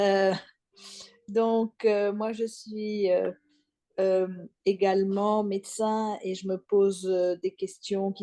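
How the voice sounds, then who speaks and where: A woman speaks at a medium pitch. Her pace is very slow and her intonation flat and monotone. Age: 60s. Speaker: doctor, webinar participant. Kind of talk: self-introduction.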